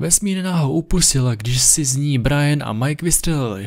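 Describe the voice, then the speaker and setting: This man's voice is somewhat breathy and fairly high in pitch, with lively intonation. He talks at a fairly slow pace. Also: quiet background. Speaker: creepypasta narrator. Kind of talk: scripted ghost story narration, first-person creepy tale. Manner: hushed, slow, suspenseful, ominous. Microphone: studio mic.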